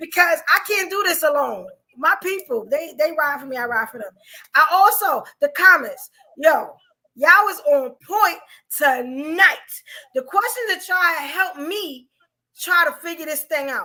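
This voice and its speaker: A woman speaks in a high, bright, sharp tone with an animated delivery and very wide pitch swings. Her voice is raised and projected. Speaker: podcast host. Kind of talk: casual chat. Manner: fast.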